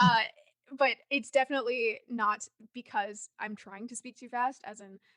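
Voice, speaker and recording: A woman with a bright, sharp tone and fairly high pitch speaks with fairly even intonation and big swings in loudness, the sound dry and close with no echo. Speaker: marketer and author. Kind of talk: podcast interview. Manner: fast.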